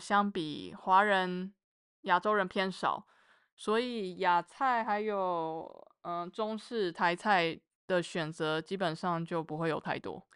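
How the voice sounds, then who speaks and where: Speaking very slowly, a woman uses a bright, sharp tone at medium pitch with ordinary pitch variation. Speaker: mechanical engineer. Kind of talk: casual chat.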